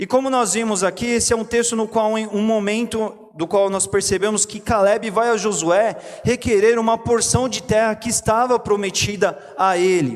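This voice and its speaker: A man's high-pitched voice at a moderate pace, with fairly even intonation and noticeable background noise. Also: hardly any pauses. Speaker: pastor. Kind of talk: sermon.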